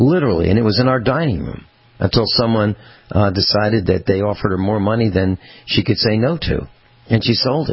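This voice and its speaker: The speaker has an ordinary speaking voice and moves at a fairly quick pace. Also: man, fairly low pitch for a man, lively intonation. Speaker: radio host.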